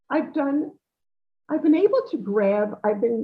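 A woman speaks with a New York accent. Her intonation is lively. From New York, Long Island (Great Neck). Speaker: socialite and charity event regular. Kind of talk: interview.

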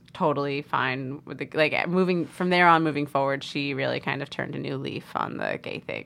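On a very clean recording with a silent background, a woman with an American accent speaks at a moderate pace in a very deep, low pitch, with vocal fry and monotone, flat intonation. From US Northeast (New York and Connecticut). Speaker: storyteller guest. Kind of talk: casual interview, personal story.

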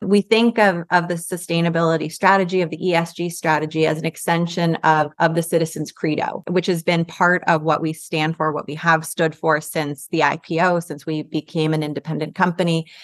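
A fairly low woman's voice with an American accent and flat, monotone intonation, fairly quick with hardly any pauses, in a dry, close recording with no echo. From New York City. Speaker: bank sustainability executive. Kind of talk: interview.

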